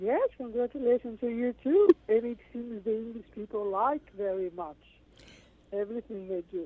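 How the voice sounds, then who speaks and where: This woman has a fairly high pitch and ordinary pitch variation. Her pace is moderate. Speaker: musician and IT specialist. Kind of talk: interview. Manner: halting.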